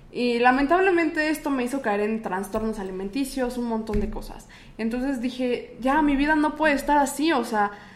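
With hardly any pauses, a woman speaks at a high pitch with ordinary pitch variation in a room with audible echo. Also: moderate pace. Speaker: radio announcer and podcaster. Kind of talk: casual chat. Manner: stronger, more formal announcer voice on podcast.

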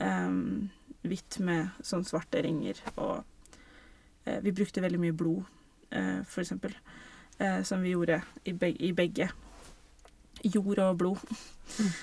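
At a very slow pace with long, frequent pauses, a woman speaks at a medium pitch with vocal fry and ordinary pitch variation. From Norway. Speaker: theatre director. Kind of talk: casual interview. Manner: halting.

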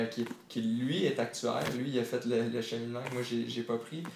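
A man speaks fairly slowly with a Quebec accent at a medium pitch. Noticeable background noise and audible room echo surround him. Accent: Québécois French. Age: 20s. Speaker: entrepreneur, former football player. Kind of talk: interview. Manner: halting, many fillers.

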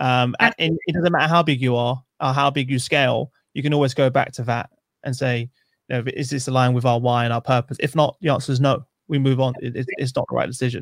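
A man with a London accent speaks very fast at medium pitch. The sound is dry and close, with no echo. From East London. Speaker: podcast host. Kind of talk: interview conversation.

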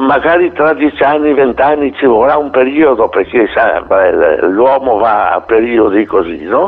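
There is noticeable background noise as a man talks at a fairly slow pace. His medium pitch has ordinary variation and his loudness stays very even. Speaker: jazz trumpeter. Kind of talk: interview. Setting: radio interview.

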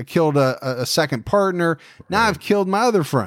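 An unremarkable speaking voice from a man, fairly high-pitched with lively intonation at a moderate pace, on a very clean recording with a silent background. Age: 40s. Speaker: true crime podcast host. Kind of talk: casual chat.

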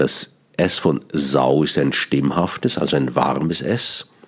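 Over noticeable background noise, a man talks at a very slow pace with ordinary pitch variation. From Switzerland, Bern. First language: Swiss German (Bernese dialect) (speaking German). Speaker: cabaret artist and radio host. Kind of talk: radio monologue on language. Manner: halting, with repetitions.

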